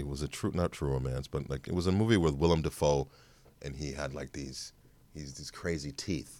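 Here a man speaks in an animated tone. He keeps a moderate pace. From Chicago. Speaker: actor. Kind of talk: casual interview chat. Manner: animated, joking.

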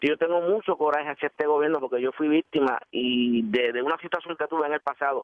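A man talks at a very fast pace with hardly any pauses. His loudness stays very even throughout. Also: fairly high pitch for a man, ordinary pitch variation. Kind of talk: phone-in call on talk radio.

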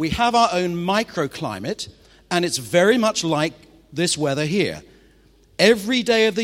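Speaking at a moderate pace with a Mancunian accent, a man uses a high pitch, an animated tone and lively intonation. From Manchester, northwest England. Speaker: pastor. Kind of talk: sermon.

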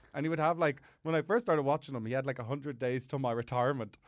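A man with an Irish accent talks at a very fast pace in a fairly high pitch. The background is quiet. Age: 20s. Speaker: comedian. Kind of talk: casual chat. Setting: studio.

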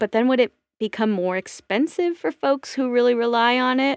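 Speaking fairly slowly, a woman in an American accent uses ordinary pitch variation. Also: dry, close sound with no echo. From Washington State. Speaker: theater performer and podcaster. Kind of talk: casual chat. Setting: remote call.

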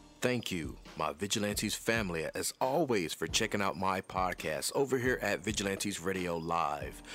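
With music in the background, a man with a fairly low pitch speaks in an energetic, animated tone at a moderate pace, with ordinary pitch variation and hardly any pauses. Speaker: radio show host. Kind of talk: radio DJ patter, hype-filled show intro and interview. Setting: radio studio. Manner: energetic, animated, hype-man.

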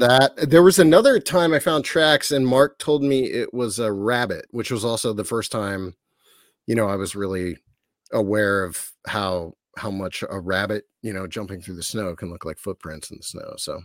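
In a normal speaking voice, a man talks at a moderate pace and medium pitch, with lively intonation, big swings in loudness, and a very clean recording over a silent background. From Ohio, US. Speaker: documentary filmmaker. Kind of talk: casual interview.

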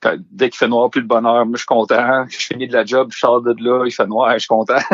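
Speaking in a Saguenay accent, a man moves at a fairly quick pace. His intonation stays fairly even. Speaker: music and alcohol columnist. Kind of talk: casual chat.

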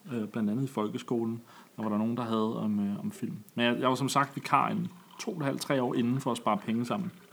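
At a fairly quick pace, a man talks in a normal speaking voice. His pitch is medium, with ordinary variation. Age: 30s. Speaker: teacher-training student and podcast host. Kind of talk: casual chat.

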